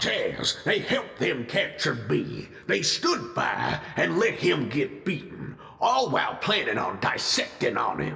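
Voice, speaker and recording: With slight echo, a man performs a put-on character voice at a fairly slow pace. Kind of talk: audio drama. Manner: gruff, skeptical.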